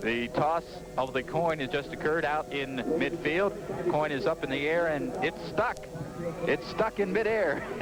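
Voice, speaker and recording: A man's fairly high voice at a moderate pace and very even loudness, with noticeable background noise. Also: ordinary pitch variation. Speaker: radio play-by-play announcer for high school football. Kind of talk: live sports radio play-by-play broadcast.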